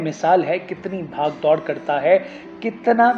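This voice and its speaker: Noticeable background noise sits under a man's high-pitched voice. His pitch varies in an ordinary way. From Pakistan. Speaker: radio broadcaster. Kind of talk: literary reading.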